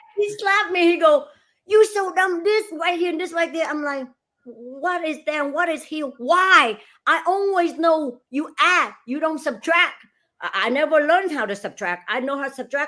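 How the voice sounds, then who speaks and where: A woman's extremely high-pitched voice is raised and projected, with a bright, sharp tone. She sounds animated, with lively intonation at a moderate pace. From Asia, immigrated to US at fifteen. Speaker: real estate broker and franchise owner. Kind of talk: casual interview.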